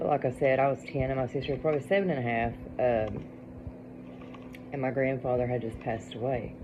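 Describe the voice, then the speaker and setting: Moderate pace and hardly any pauses from a woman in an Appalachian accent. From Appalachian Kentucky. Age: 40s. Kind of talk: casual storytelling to camera. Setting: home, dark, during thunderstorm.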